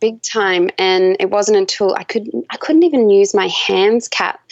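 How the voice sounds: The speaker talks at a very slow pace with an Australian accent. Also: woman.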